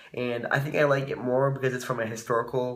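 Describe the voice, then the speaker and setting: Amid noticeable background noise, a man speaks at a very fast pace in a monotone, flat intonation. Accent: American. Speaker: study abroad college student. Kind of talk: casual vlog talk to camera.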